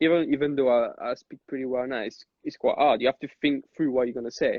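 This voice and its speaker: A man speaks at a moderate pace. He has a French accent. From Corsica, France. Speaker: club DJ. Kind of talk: casual chat. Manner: halting, many repetitions.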